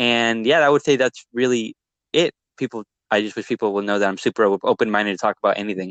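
A man speaks very fast at a medium pitch with ordinary pitch variation, in a dry, close sound with no echo. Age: 20s. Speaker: videographer and entrepreneur. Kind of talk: casual interview chat.

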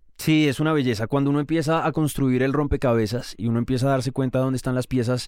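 His tone is dark and mellow. The man speaks very fast. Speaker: podcast host. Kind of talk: interview.

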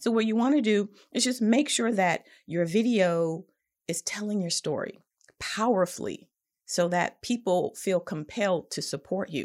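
This is an unremarkable speaking voice with lively intonation at a moderate pace. The recording is very clean, with a silent background. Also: woman, medium pitch for a woman. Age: 50s. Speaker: podcast host and nonprofit consultant. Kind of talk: casual instructional talk.

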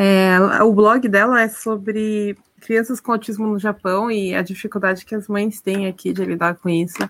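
Her intonation stays monotone and flat throughout. The woman keeps a medium pitch at a moderate pace. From Brazil, of Japanese descent. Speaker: Brazilian immigrant in Japan, watercolor artist. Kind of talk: casual chat.

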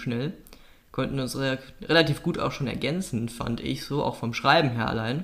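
With a plain, everyday voice, a man talks at a moderate pace and medium pitch with ordinary pitch variation. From North Rhine-Westphalia, Oberbergischer Kreis. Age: 20s. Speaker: podcast co-host. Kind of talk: casual chat.

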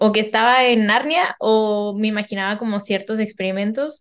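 A fairly high-pitched woman with a Mexican accent at a moderate pace. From Mexico. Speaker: geneticist and painter. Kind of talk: casual interview chat.

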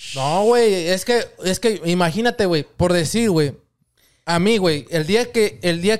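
The background is completely silent on this very clean recording. The voice belongs to a man. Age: 20s. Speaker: podcast host as guest. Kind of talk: casual chat. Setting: podcast studio.

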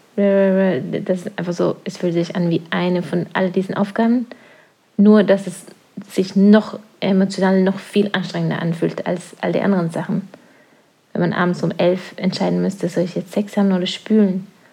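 Somewhat breathy and dark, mellow in tone, a woman's medium-pitched voice stays flat and monotone throughout. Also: moderate pace. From Norway. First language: Norwegian (speaking German). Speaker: podcast co-host, parent. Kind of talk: casual chat.

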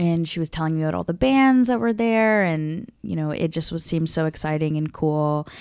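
A woman with an American accent speaks at a fairly quick pace with hardly any pauses, her fairly low pitch carrying lively intonation. It's an ordinary speaking voice on a very clean recording with a silent background. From small-town US, South Indian family. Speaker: comedian. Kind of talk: casual chat.

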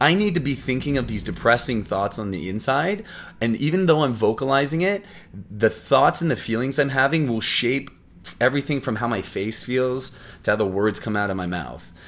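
In a Canadian accent, a man with an ordinary speaking voice talks at a moderate pace in a medium pitch with lively intonation. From Canada, Windsor, Ontario. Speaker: actor. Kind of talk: casual interview.

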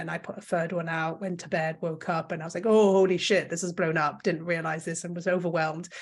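A woman talks at a very fast pace. She has a French accent. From Belgium. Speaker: content creator. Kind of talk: casual interview. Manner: talkative, long-winded.

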